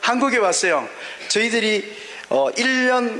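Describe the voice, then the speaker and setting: A man's raised, projected voice with ordinary pitch variation, noticeable background noise and audible room echo. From Gyeongsang region, South Korea (born in Daegu). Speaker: pastor. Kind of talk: sermon. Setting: auditorium with audience and interpreter. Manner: fast.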